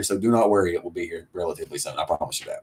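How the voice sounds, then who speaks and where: A man's fairly low voice in a strong Appalachian accent. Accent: Appalachian country accent, strong. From Appalachia, US. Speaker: video editor. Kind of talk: livestream Q&A chat. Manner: casual, many fillers.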